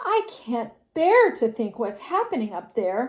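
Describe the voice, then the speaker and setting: A female-sounding put-on character voice speaks at a fairly high pitch and a fairly slow pace. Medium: read story.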